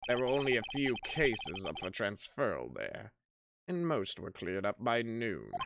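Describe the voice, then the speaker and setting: A put-on character voice delivers the lines in a dramatic tone. The pitch is low-to-middle and the pace moderate. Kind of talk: courtroom speech. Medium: game stream. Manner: dramatic reading of game text.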